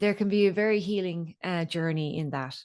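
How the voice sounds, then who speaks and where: A woman at a medium pitch, in an Irish accent, against a quiet background. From Ireland. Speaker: voice coach and singer. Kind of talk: podcast interview.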